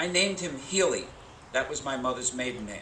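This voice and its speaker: Noticeable background noise sits behind the speaker. A man talks with ordinary pitch variation. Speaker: retired middle school teacher, keynote speaker at a high school graduation. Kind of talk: graduation commencement speech. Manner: humorous, storytelling.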